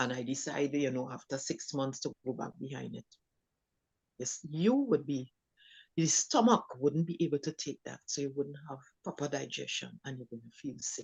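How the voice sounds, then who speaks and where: A woman speaks with a very deep, low pitch. Her loudness swings widely. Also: ordinary pitch variation, moderate pace. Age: 60s. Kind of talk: panel discussion. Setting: live stream.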